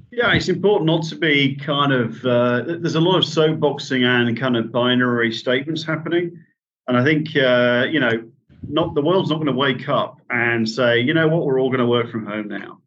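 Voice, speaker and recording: The man talks at a moderate pace with a medium pitch and ordinary pitch variation. Room echo is audible. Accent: Yorkshire. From Yorkshire, England. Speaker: managing director. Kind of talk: podcast interview.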